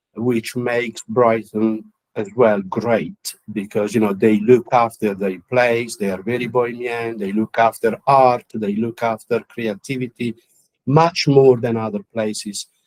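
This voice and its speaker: Speaking with an Italian accent, a man at medium pitch keeps a fairly slow pace and fairly even intonation, the sound dry and close with no echo. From Italy. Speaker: counsellor and musician. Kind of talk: interview. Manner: halting, many fillers.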